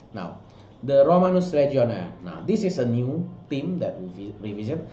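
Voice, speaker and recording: In a non-native accent, a man with a medium-pitched, dark, mellow and somewhat breathy voice speaks at a moderate pace with very wide pitch swings, and audible room echo is present. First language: not English. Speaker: art director and sculptor. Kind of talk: product walkthrough. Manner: halting, many fillers.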